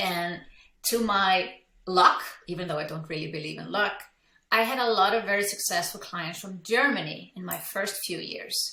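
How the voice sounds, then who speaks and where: A woman's bright, sharp voice with ordinary pitch variation and big swings in loudness, in a room with audible echo. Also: medium pitch for a woman, moderate pace. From Iceland. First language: Icelandic. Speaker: business coach. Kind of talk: interview. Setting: podcast.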